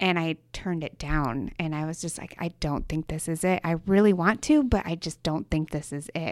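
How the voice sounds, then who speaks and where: A woman with an ordinary speaking voice, fairly low in pitch, at a moderate pace, on a very clean recording with a silent background. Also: ordinary pitch variation, hardly any pauses. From Michigan. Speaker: interior designer and studio founder. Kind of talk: casual interview chat.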